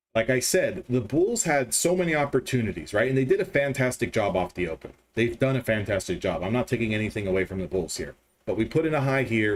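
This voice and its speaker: Sounding animated, a man talks at a very fast pace with a medium pitch and very wide pitch swings. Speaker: day trader streaming live. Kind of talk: live trading commentary. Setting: live stream.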